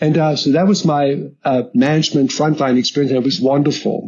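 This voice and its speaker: Speaking at a fairly quick pace, a man has a German accent. His voice sits at medium pitch with ordinary pitch variation. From southern Germany. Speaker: logistics executive. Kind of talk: interview storytelling. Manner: hesitant, many fillers and repetitions.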